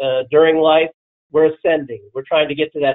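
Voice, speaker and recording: This man speaks at a fairly quick pace in an unremarkable speaking voice with fairly high pitch for a man. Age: 60s. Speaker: reverse mortgage loan officer. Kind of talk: webinar presentation.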